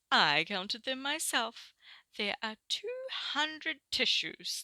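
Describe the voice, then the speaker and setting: A woman's put-on character voice sits high in pitch. The pace is fairly slow. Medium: read story.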